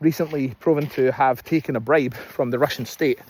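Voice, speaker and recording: A man with a Scottish accent at a fairly quick pace. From Scotland. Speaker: political commentator. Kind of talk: casual political monologue. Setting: outdoors in fields. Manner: hesitant, many fillers.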